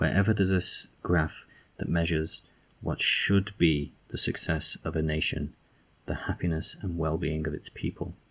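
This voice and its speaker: A man speaks in a very deep, low voice with a British accent. His intonation stays fairly even at a fairly slow pace. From UK. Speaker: political commentator. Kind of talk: rant.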